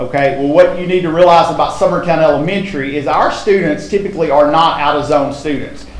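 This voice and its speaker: Speaking with a Tennessee accent, a man keeps his intonation fairly even. Noticeable background noise and audible room echo are present. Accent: Southern US (Tennessee). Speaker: school principal. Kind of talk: presentation at school board meeting.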